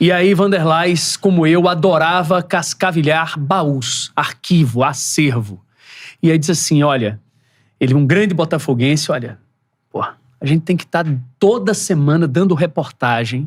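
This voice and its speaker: A man with a strong northeastern Brazilian accent, fairly high in pitch with ordinary variation, at a fairly slow pace, on a very clean recording with a silent background. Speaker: sports TV reporter. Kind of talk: podcast interview, storytelling.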